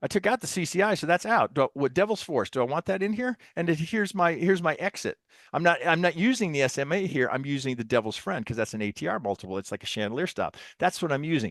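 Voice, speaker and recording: A very fast, fairly high male voice with vocal fry and very wide pitch swings, dry and close with no echo over a quiet background. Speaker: trading software presenter. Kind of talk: webinar software demo. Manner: informal, halting with repetitions.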